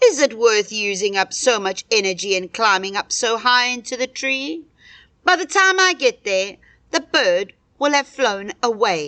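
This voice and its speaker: A put-on character voice, fairly high in pitch, at a moderate pace against a quiet background. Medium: read story. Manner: sly.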